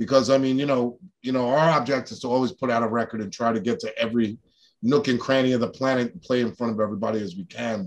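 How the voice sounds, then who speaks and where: A man talks at a fairly quick pace. His pitch shows ordinary variation. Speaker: guest. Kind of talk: interview answer. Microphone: video call.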